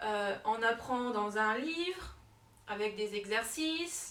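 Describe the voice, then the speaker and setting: A woman's lively intonation. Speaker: French teacher. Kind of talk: self-presentation to camera. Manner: hesitant, with fillers.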